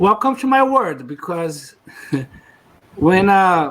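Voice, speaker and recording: With a Portuguese accent, a man speaks at a fairly slow pace and with lively intonation. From Brazil. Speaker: podcast co-host. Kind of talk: casual chat.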